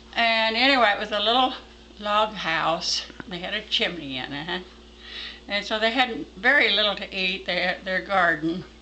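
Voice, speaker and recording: Against noticeable background noise, a woman with an American accent talks at a moderate pace and medium pitch, her intonation lively. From Texas. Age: 80s+. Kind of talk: folk tale storytelling.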